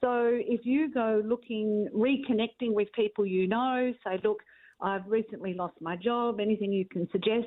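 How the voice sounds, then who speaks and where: In an Australian accent, a woman speaks at a moderate pace with fairly even intonation. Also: fairly high pitch for a woman. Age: 60s. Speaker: career expert. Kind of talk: radio interview.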